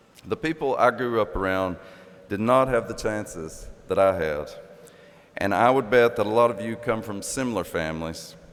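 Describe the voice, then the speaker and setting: A man's medium-pitched voice in an Appalachian accent. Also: ordinary pitch variation, moderate pace. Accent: Appalachian Kentucky. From southeastern Kentucky. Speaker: commencement speaker, professor. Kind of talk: commencement address. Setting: graduation ceremony in arena.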